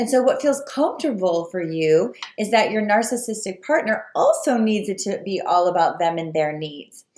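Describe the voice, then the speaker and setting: Amid noticeable background noise, a woman with a medium-pitched voice talks with hardly any pauses, her pitch swinging very widely. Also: moderate pace. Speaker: spiritual coach. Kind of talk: video talk to viewers.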